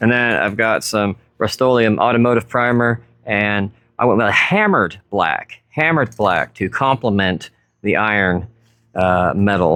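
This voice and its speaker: At a fairly slow pace and very even loudness, a man with an ordinary speaking voice talks at a fairly low pitch with ordinary pitch variation. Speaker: woodworker, furniture restorer. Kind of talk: casual talk to camera. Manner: casual, joking.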